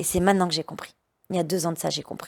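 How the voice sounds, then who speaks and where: Recorded very cleanly against a silent background, a woman's voice has a dry, close sound with no echo. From France, Lyon suburbs. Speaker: dancer and activist against forced marriage. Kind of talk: interview testimony. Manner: loud.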